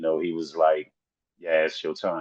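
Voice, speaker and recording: The voice comes with a Southern accent. The sound is dry and close, with no echo. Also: man. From US South. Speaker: rapper. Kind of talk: interview.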